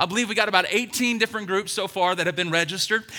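Raised and projected, a man's high-pitched voice sounds animated with a bright, sharp tone, an American accent, and ordinary pitch variation. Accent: Southern US, fading. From US South, Alabama. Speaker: pastor. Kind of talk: sermon. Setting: church. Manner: loud.

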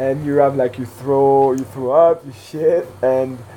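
Noticeable background noise fills the recording. Over it, a man is talking. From Switzerland. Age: 20s. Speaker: freeride skier and film producer. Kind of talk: casual interview.

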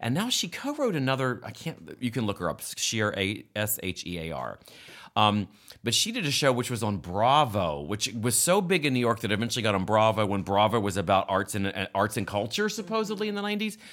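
In a very clean recording with a silent background, a man of medium pitch talks at a fairly quick pace with lively intonation and an American accent, in a plain, everyday voice. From West Virginia. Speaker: comedic actor. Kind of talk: casual chat.

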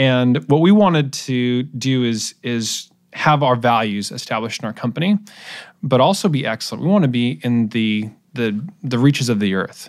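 In a very clean recording with a silent background, a man with an American accent uses an ordinary speaking voice, talking at a moderate pace with lively intonation. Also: medium pitch for a man. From US Pacific Northwest (Portland, Oregon). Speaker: entrepreneur. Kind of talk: interview.

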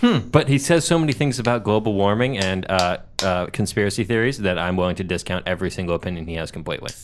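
A man's very fast, lively speech in a fairly low pitch, with hardly any pauses and music in the background. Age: 20s. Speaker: podcast co-host. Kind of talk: casual chat.

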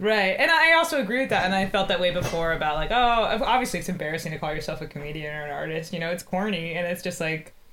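The speech runs at a very fast pace with ordinary pitch variation, over noticeable background noise. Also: woman, fairly low pitch for a woman, hardly any pauses. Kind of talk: casual chat. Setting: video call.

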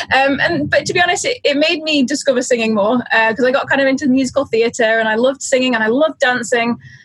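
Over noticeable background noise, a woman speaks very fast in a high voice with very even loudness. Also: ordinary pitch variation. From Isle of Man. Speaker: singer-songwriter. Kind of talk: interview.

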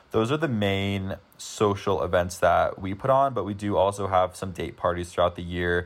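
With an ordinary speaking voice, a man keeps a moderate pace, his pitch fairly low and its variation ordinary. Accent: American. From US, Denver, Colorado. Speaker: university student. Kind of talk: casual interview. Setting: remote recording.

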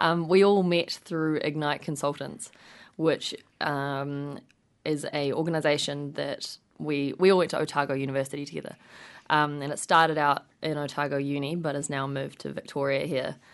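With a New Zealand accent, a woman with a very deep, low pitch speaks at a moderate pace in a monotone, flat intonation against a quiet background. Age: 20s. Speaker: nonprofit co-founder. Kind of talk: radio interview.

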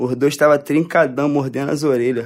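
A man with a normal speaking voice, fairly high in pitch and fairly even in intonation. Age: 20s. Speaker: author. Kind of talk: reading aloud.

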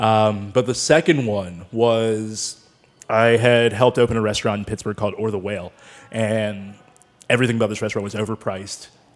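A man with an American accent and an ordinary speaking voice, fairly low in pitch, at a fairly quick pace with fairly even intonation. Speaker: sommelier. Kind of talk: casual chat. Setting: studio.

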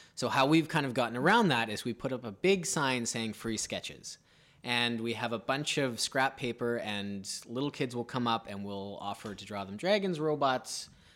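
Lively intonation marks a man of medium pitch with a plain, everyday voice. The recording is very clean, with a silent background. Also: moderate pace. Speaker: podcast co-host and writer. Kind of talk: casual chat.

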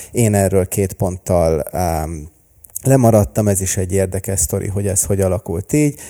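Dry and close with no echo, this very clean recording with a silent background captures a man's fairly low pitch and dark, mellow tone. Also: ordinary pitch variation, moderate pace. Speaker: entrepreneur and vlogger. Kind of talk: casual interview chat. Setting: studio.

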